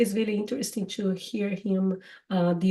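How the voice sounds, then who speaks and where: A woman talks at a fairly slow pace, her voice somewhat breathy and her intonation fairly even. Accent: strong Brazilian. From Brazil. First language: Portuguese. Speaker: podcast host, English teacher. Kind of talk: casual chat. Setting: live stream. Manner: halting.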